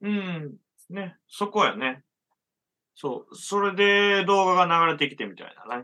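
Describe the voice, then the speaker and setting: A man with a Kansai accent speaks in a raised, projected voice of high pitch and a bright, sharp tone, with ordinary pitch variation. His loudness swings widely, and he leaves long, frequent pauses. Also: moderate pace. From Japan, rural Hyogo near Okayama. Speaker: musician and illustrator. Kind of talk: casual chat.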